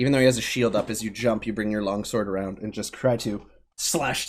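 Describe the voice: The speaker is doing plain reading aloud. Nothing else is given about the voice.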